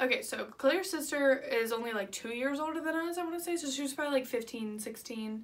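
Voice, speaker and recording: With an animated tone and lively intonation, a woman talks at a very fast pace and high pitch. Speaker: vlogger. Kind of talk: storytime vlog.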